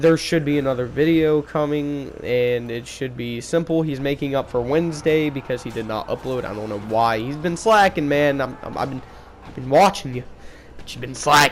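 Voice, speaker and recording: With noticeable background noise around him, a man of fairly high pitch talks at a moderate pace, his pitch varying in an ordinary way and his loudness swinging widely. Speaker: gaming YouTuber. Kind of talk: casual gaming commentary. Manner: halting, many fillers.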